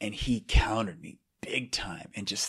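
A man whispering with an American accent. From US West Coast, San Francisco Bay Area. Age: 40s. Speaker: philosophy professor and judo coach. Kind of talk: casual interview chat. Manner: clear-spoken.

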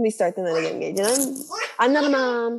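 Lively intonation runs through a plain, everyday voice at a fairly quick pace. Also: woman. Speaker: graduate school applicant. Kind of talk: casual chat.

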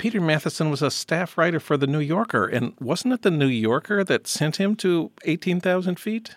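This man has an unremarkable speaking voice with a fairly high pitch and lively intonation at a moderate pace. The recording is very clean, with a silent background. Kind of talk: podcast interview and intro.

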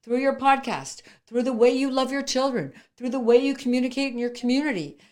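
The woman speaks at a fairly quick pace with a high pitch. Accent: Canadian. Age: 50s. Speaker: entrepreneur. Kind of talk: interview.

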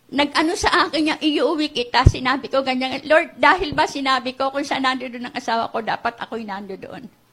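A woman talks at a high pitch and a fairly quick pace, with hardly any pauses. Her pitch variation is ordinary, and noticeable background noise is present. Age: 70s. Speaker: guest pastor. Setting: church, live in front of a congregation. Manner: animated, emotionally charged, pleading; shifting between Tagalog and English, with some halting restarts.

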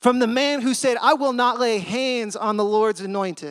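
On a very clean recording over a silent background, a man speaks in a high pitch with lively intonation. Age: 30s. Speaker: youth minister preaching. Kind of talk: sermon. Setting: church with congregation.

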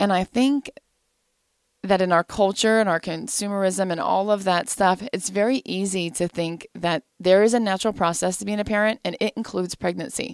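A woman with an American accent speaks in an ordinary speaking voice at medium pitch and a moderate pace, with ordinary pitch variation and a dry, close sound with no echo. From US Midwest. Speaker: adoptive mother and pharmacist. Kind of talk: interview. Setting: studio.

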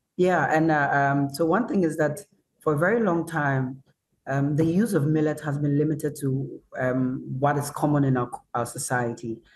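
Somewhat breathy, a fairly high-pitched man keeps a moderate pace and very even loudness. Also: ordinary pitch variation. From northern Ghana. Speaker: chef. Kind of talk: online panel discussion. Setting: video call.

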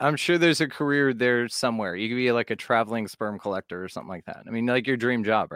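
A man with an American accent and medium pitch talks at a very fast pace with ordinary pitch variation, captured as a dry, close sound with no echo on a very clean recording with a silent background. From Texas, Fort Worth. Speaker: podcast host (guest). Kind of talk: casual chat.

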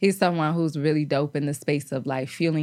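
A woman with a very deep, low pitch speaks in fairly even intonation on a very clean recording with a silent background. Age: 30s. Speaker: women's health advocate and content creator. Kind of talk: casual chat.

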